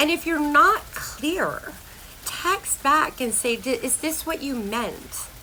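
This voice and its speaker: Over noticeable background noise, a woman talks in a raised, projected voice with an animated tone and ordinary pitch variation. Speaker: health and life coach. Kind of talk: casual vlog monologue.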